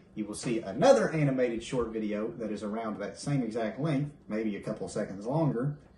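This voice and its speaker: Noticeable background noise sits behind this man. He speaks with a Southern US accent and ordinary pitch variation. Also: medium pitch for a man, fairly quick pace. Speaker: YouTube creator, animator. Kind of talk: casual chat. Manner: animated.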